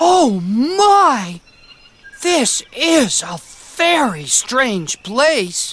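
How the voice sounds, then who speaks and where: A female-sounding cartoonish character voice, high in pitch for a woman, moves at a very slow pace with very wide pitch swings. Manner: polite, fretful.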